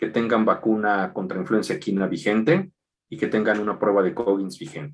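At a moderate pace, a man talks in a normal speaking voice of medium pitch. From Mexico City. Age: 40s. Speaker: equine veterinarian. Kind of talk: interview.

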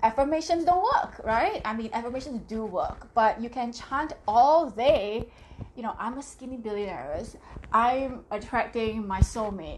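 Amid noticeable background noise, a high-pitched woman speaks fairly slowly in an animated tone, with lively intonation and big swings in loudness. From Singapore. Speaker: life coach and community founder. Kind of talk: live stream talk to viewers. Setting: live video stream.

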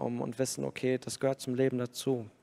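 Monotone and flat in intonation, a man speaks in a dark, mellow tone. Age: 30s. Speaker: schoolteacher and church keyboardist. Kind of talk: personal testimony.

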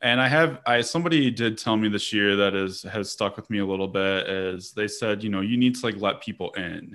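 An ordinary speaking voice with an American accent, ordinary pitch variation, a fairly quick pace, and hardly any pauses. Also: man, fairly low pitch for a man. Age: 30s. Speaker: parks professional, podcast co-host. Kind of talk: casual chat.

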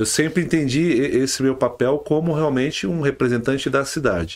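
A man speaks in a normal speaking voice, fairly high for a man, at a moderate pace with ordinary pitch variation. The recording is very clean, with a silent background. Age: 40s. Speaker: politician, former city councillor. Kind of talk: podcast interview.

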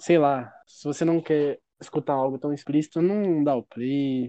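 Fairly slow and fairly even in intonation, a man talks at a fairly high pitch. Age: 20s. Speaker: podcast co-host. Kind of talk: casual chat. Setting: outdoors.

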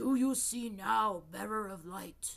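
A woman speaks in a put-on character voice with a rumbling quality, her pitch medium. She talks at a fairly slow pace. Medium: read story. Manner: ominous, menacing.

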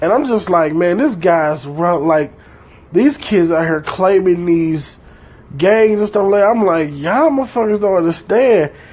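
High-pitched man at a moderate pace, lively intonation and very even loudness, with noticeable background noise. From Detroit, Michigan, US. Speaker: podcaster. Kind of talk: casual monologue.

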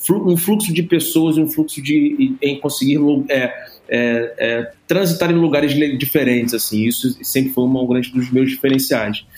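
A man talks in a plain, everyday voice. His pitch variation is ordinary. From Brazil, Rio de Janeiro. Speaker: entrepreneur in music and media. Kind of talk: podcast interview. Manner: casual, slangy.

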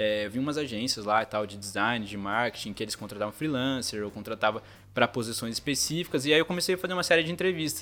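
Speaking at a very fast pace, a man uses lively intonation at medium pitch. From Brazil, São José dos Campos (São Paulo state). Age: 20s. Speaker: graphic designer, former exchange student. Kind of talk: casual interview.

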